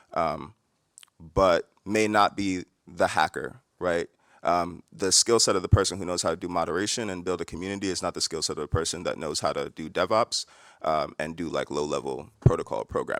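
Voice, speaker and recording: At a fairly quick pace, a man with an American accent speaks in a very deep, low pitch and fairly even intonation, recorded very cleanly against a silent background with a dry, close sound and no echo. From New York. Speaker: tech founder, panelist. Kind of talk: conference panel discussion. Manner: fast.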